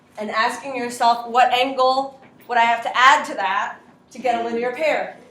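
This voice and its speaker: Amid noticeable background noise and audible room echo, a woman with a high pitch speaks at a moderate pace in a monotone, flat intonation with big swings in loudness. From Latin America. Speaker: high school math teacher. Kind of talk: classroom lesson. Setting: classroom.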